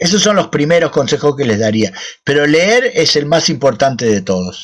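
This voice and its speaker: His pitch swings very widely and sits fairly high. This man keeps a moderate pace. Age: 60s. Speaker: children's book author. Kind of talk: Q&A with school children. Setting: video call. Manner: casual, friendly.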